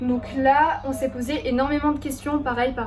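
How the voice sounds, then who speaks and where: Noticeable noise runs through the background. Over it, a woman talks. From Bordeaux region, France. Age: 20s. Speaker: lifestyle YouTuber. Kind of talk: casual talk to camera. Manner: friendly, chatty.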